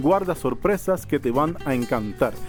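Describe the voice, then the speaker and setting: With music playing in the background, a man in a Cuban accent speaks in an upbeat, playful tone with lively intonation. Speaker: travel vlogger. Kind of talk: travel vlog intro to camera.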